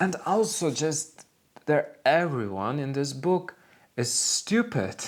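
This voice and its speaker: A man with a non-native accent speaks in an animated tone, his pitch swinging very widely. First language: not English. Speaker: book and culture vlogger. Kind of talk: casual monologue review.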